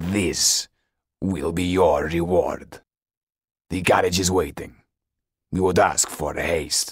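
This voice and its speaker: A man puts on a growling character voice, very deep and low, speaking at a fairly slow pace with long, frequent pauses. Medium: read story. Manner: curt, cold, commanding.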